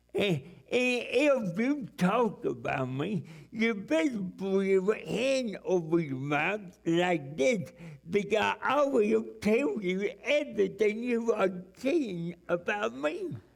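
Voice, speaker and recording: A man's high-pitched voice at a very slow pace, with very wide pitch swings. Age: 70s. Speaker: evangelist. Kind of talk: sermon. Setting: church. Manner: halting, repetitive.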